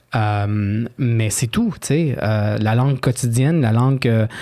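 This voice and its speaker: A man's medium-pitched voice in a Quebec accent, dark and mellow in tone, with fairly even intonation. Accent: Québécois French. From Quebec, Chilean immigrant family. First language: Spanish (speaking French). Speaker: author. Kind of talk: interview. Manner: hesitant, many fillers.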